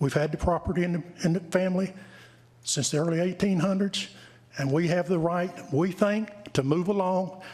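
A man with a North Carolina accent speaks at a high pitch and a moderate pace. His intonation is fairly even, broken by long, frequent pauses. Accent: Southern US (North Carolina). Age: 60s. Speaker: land owner speaking at public hearing. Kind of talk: public comment at town council meeting. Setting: council chamber. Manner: halting.

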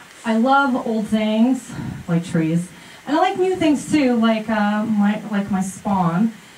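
With lively intonation, a woman speaks at a very slow pace amid light background noise and audible room echo. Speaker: speaker. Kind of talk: casual public talk. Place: stage.

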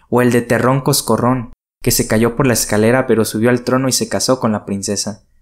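Over a very clean recording with a silent background, a man with an unremarkable speaking voice talks at a moderate pace with fairly even intonation. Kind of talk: audiobook fairy tale narration. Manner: expressive storyteller, shifts tone for character dialogue.

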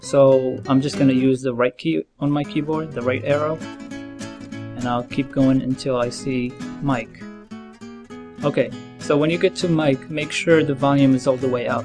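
Music plays in the background while the speech comes with long, frequent pauses. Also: moderate pace. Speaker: tutorial narrator. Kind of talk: tutorial.

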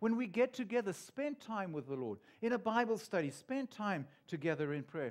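Over a quiet background, a man with a warm tone and lively intonation speaks at a moderate pace. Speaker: pastor. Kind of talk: sermon. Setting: church. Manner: warm, earnest, conversational preaching with pauses and repeats. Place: church. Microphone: headset.

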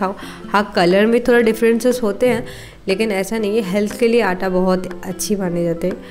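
A woman's voice with ordinary pitch variation and faint music in the background. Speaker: home vlogger. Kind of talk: casual vlog chat. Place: kitchen. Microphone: phone near.

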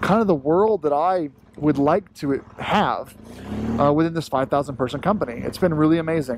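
A man talks at a moderate pace with a fairly high pitch and ordinary pitch variation. The sound is dry with no echo, and there is light background noise. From Florida. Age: 30s. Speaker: motorcycle vlogger. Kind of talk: vlog monologue while riding. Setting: outdoors on a motorcycle. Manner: halting, many fillers. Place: motorbike.

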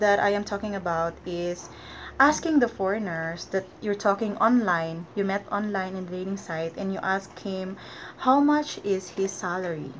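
A woman speaks at a moderate pace with a Filipino accent. Her medium pitch varies normally over light background noise. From Philippines. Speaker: vlogger. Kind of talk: casual vlog talk to camera. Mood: friendly, advising. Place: home room. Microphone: webcam.

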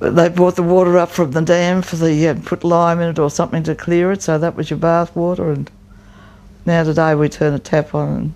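A woman's fairly low, dark, mellow voice with an Australian accent, fairly quick and monotone with flat intonation. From Australia, New South Wales. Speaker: oral history interviewee. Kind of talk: oral history interview answer. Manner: extroverted, talkative. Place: home room. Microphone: lapel.

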